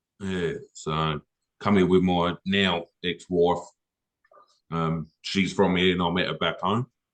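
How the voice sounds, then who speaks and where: With an English accent, a man speaks at very deep, low pitch in a monotone, flat intonation, at a very slow pace with long, frequent pauses, in a dry, close sound with no echo. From England. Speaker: car detailer, business owner. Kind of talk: casual chat.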